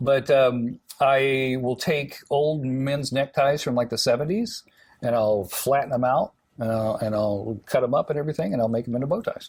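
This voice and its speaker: A man with an American accent speaks at a moderate pace and a medium pitch. His voice is somewhat breathy, with ordinary pitch variation. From US South, Alabama. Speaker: TV morning show host. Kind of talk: casual interview chat. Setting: TV studio. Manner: chatty storytelling with fillers.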